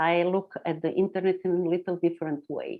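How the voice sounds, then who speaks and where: A woman speaks with a non-native accent at a moderate pace. Her pitch sits in the medium range. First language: not English. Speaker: internet pioneer. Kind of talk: interview. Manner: halting.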